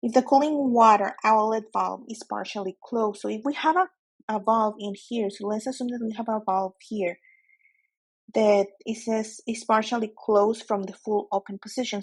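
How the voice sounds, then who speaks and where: With a Spanish accent, a woman speaks at a moderate pace in a fairly high pitch with ordinary variation. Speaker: nuclear exam tutor. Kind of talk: tutorial. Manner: hesitant, self-correcting.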